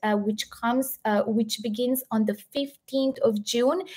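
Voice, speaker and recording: A woman's fairly high voice with a Serbian accent. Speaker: health educator and live stream host. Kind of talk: live stream interview and wrap-up. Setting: video call live stream.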